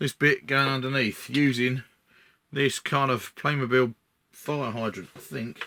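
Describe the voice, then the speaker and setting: A man with an Essex accent speaks with ordinary pitch variation. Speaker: scenery modeller. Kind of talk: build tutorial commentary. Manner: casual, halting with fillers.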